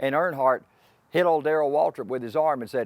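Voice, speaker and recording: A fairly high-pitched man with a Southern US accent is heard in a dry, close recording with no echo. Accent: Southern US (Georgia). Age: 60s. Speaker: racing announcer. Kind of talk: interview monologue.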